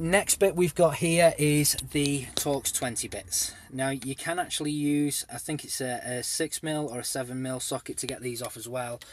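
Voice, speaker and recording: Ordinary pitch variation from a man with an English accent. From England. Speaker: car DIY video maker. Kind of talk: tutorial. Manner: casual, with many fillers.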